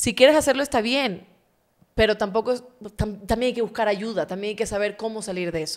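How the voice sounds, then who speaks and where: The pace is fairly quick, pitch variation ordinary, and the background quiet. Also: woman. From Ecuador. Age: 30s. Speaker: journalist and interview show host; journalist, interview show host. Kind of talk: casual interview chat. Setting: studio. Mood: earnest, personal storytelling. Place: studio. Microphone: studio mic.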